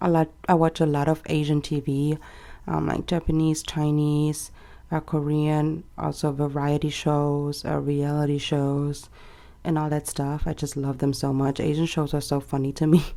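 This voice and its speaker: With a German accent, the speaker has a dark, mellow tone and monotone, flat intonation at a moderate pace. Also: woman, very deep, low pitch for a woman, very clean recording, silent background. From Germany. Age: 20s. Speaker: planner vlogger. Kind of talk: casual vlog chat. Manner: casual, many fillers.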